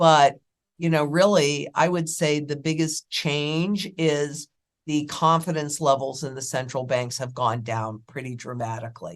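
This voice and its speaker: At a very deep, low pitch, a woman speaks at a fairly slow pace with ordinary pitch variation against a quiet background. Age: 60s. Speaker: precious metals and finance commentator. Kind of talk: interview. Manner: confident, emphatic.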